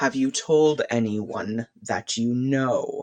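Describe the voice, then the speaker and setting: Pitched low-to-middle, a put-on character voice unfolds at a very slow pace. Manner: commanding.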